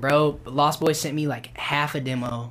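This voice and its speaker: A man speaks with an American accent and fairly even intonation. Noticeable background noise sits behind him. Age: 20s. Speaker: rapper. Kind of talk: casual interview. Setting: studio.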